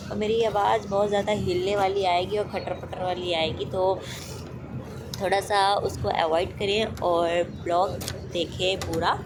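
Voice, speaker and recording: A woman at a medium pitch and very slow pace, very even in loudness, with noticeable background noise and audible room echo. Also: fairly even intonation. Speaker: vlogger. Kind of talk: vlog voice-over narration. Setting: on a bus.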